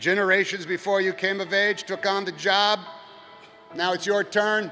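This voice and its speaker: A man with a high pitch speaks in a raised, projected voice at a moderate pace, with fairly even intonation. Music plays in the background. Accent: American. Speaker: actor and commencement speaker. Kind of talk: commencement speech to a live audience.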